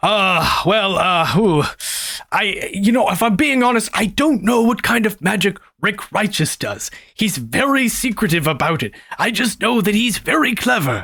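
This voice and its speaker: A man's put-on character voice, high in pitch and at a moderate pace. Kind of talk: comic table roleplay. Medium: actual play. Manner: rambling, hesitant, filler-heavy.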